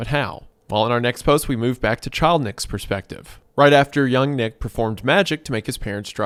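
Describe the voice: Pitch shifts in an ordinary way during this plain reading aloud.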